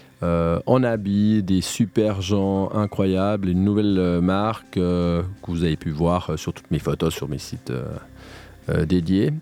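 Speech moves at a very slow pace with ordinary pitch variation. Music plays in the background. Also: man. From French-speaking Switzerland (Morges). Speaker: reality TV contestant. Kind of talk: radio interview. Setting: studio.

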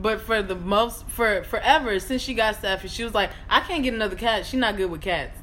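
This woman has a fairly high pitch with ordinary variation. She talks at a fairly quick pace. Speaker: podcast co-host. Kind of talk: casual chat. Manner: calm, reasoned.

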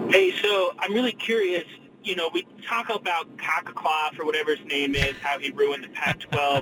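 Ordinary pitch variation from a high-pitched man at a moderate pace, over noticeable background noise. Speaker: caller. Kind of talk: casual call-in. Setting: phone call, in a car.

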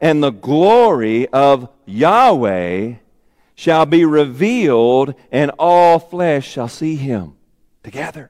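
Speaking very slowly with a Southern US accent, a man uses a fairly high pitch that swings very widely. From Arkansas. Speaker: pastor. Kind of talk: sermon.

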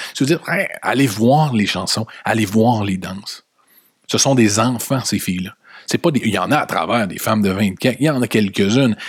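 With a Quebec accent, a man at a medium pitch speaks at a moderate pace in an animated tone with ordinary pitch variation. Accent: Québécois French. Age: 40s. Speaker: podcast host. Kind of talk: opinion monologue.

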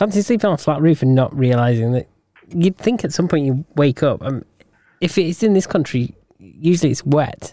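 A man with a British accent talks at a moderate pace with lively intonation. The sound is dry and close, with no echo. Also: fairly high pitch for a man. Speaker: podcast co-host. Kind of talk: casual chat.

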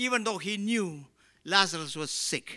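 Raising and projecting his voice, a man with a Keralan accent speaks at a fairly slow pace in a bright, sharp tone, recorded very cleanly against a silent background. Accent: Indian English (Malayali). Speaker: pastor. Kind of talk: sermon. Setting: church. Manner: preaching with rhetorical repeated questions, impassioned, building emphasis.

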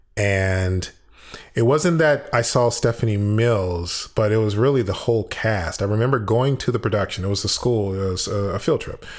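On a very clean recording with a silent background, a man with an American accent talks at a fairly slow pace with ordinary pitch variation. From US, Chicago then San Francisco Bay Area. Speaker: actor. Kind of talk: casual interview. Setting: living room of a rental apartment. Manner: animated, high energy. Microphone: slight room echo.

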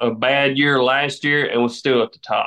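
A man with a Southern US accent talks using fairly even intonation. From US South, southern Tennessee. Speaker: farmer. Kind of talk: interview. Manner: casual, hesitant fillers.

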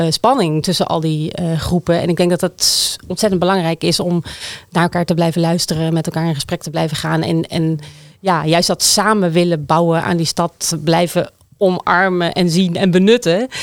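Against noticeable background noise, the speech moves at a moderate pace with fairly even intonation and a dry, close sound with no echo. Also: woman, fairly low pitch for a woman, very even loudness. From Netherlands, Groningen province (small village). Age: 40s. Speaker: city councillor, former urban planner. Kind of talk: political discussion.

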